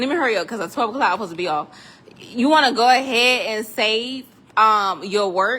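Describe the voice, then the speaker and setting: A woman's animated, fairly high voice at a moderate pace, with ordinary pitch variation. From South Carolina, US South. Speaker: 3D printing tutorial maker. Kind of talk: tutorial. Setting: metal building workshop. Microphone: echoey room.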